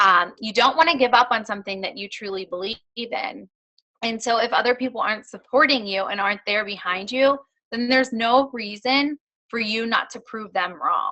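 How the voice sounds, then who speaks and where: With a plain, everyday voice, this woman speaks at a moderate pace and a fairly high pitch, her loudness swinging widely while her pitch varies in an ordinary way. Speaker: fitness business coach, guest speaker. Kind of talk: motivational talk on a team call. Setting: conference phone call. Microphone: connection issues.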